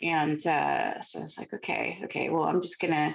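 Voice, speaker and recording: A woman with a Californian accent, on a very clean recording with a silent background. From Los Angeles, San Fernando Valley. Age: 40s. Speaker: contortionist and aerialist. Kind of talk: interview conversation.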